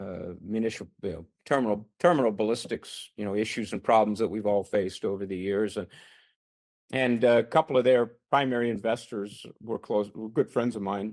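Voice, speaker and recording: A man with a plain, everyday voice talks at a moderate pace, his fairly low pitch showing ordinary variation. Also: very clean recording, silent background. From Canada. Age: 60s. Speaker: retired army officer and police chief. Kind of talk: podcast interview.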